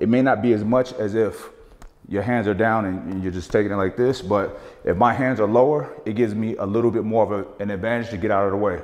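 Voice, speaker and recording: A man speaks at a fairly quick pace, his pitch varying in an ordinary way, against a quiet background. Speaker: boxing coach. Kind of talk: tutorial. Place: gym.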